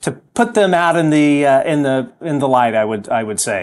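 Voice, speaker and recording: Speech at a moderate pace with ordinary pitch variation. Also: man. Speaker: talk show host. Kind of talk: interview conversation. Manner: hesitant, many fillers.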